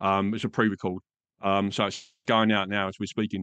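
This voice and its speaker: Against a quiet background, a man with an Essex accent speaks at a moderate pace in a fairly low pitch, his tone bright and sharp, his intonation fairly even, the sound dry and close with no echo. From England. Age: 50s. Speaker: podcast guest, radio presenter and dad. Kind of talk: casual interview chat. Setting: video call.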